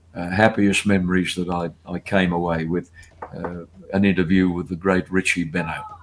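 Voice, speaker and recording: A man with a very deep, low pitch and an Australian accent, at a moderate pace, amid noticeable background noise. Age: 80s. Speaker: race caller and broadcaster. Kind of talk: interview answer, reminiscing on a podcast.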